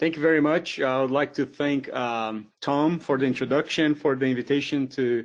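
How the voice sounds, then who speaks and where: Hardly pausing, a man talks at a moderate pace with a fairly high pitch, fairly even intonation and very even loudness over a quiet background. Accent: Brazilian. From southern Brazil, Porto Alegre. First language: Portuguese. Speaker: professor. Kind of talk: lecture. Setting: webinar.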